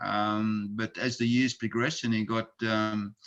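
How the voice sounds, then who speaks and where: The intonation stays fairly even, with an Australian accent. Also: man. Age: 70s. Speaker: charity president and retired plumber. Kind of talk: interview.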